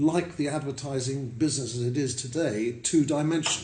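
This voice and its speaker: A somewhat breathy man at a fairly high pitch, moderate pace, ordinary pitch variation and audible room echo. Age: 70s. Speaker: hotel owner. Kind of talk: interview. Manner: hesitant with fillers.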